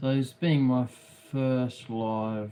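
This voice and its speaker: Talking at a very slow pace, a man has an Australian accent. His pitch is medium and his intonation fairly even. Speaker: craft livestreamer. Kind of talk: casual livestream commentary while painting. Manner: halting, many fillers and repeats.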